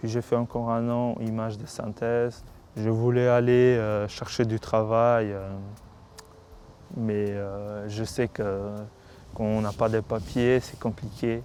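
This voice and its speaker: A man at medium pitch speaks at a very slow pace in a monotone, flat intonation, with long, frequent pauses. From North Macedonia. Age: 20s. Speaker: undocumented migrant. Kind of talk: interview testimony. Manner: hesitant, many fillers.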